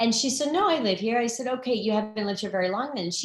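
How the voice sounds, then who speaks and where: Speaking at a very fast pace, a woman with an American accent uses a fairly high pitch and ordinary pitch variation. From Arizona. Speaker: nonprofit founder. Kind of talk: talk to online audience. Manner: animated.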